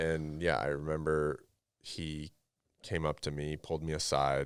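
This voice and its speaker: A man with a very deep, low pitch speaks in a Canadian accent. His delivery is fairly slow, with monotone, flat intonation. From western Canada (Revelstoke, British Columbia). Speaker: former pro hockey player and performance coach. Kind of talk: podcast interview. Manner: casual.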